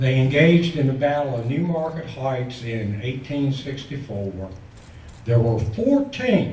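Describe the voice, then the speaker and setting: Over noticeable background noise and audible room echo, a man with a fairly high pitch talks at a fairly slow pace with lively intonation. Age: 70s. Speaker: public commenter. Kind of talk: public comment speech. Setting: public meeting with audience.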